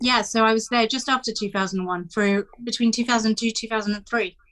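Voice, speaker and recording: A woman with a British accent speaks at a very fast pace, her pitch fairly high and her intonation fairly even. The recording is very clean, with a silent background. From England, UK, raised in Polish immigrant family. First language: Polish. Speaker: journalist and editor. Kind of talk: interview conversation.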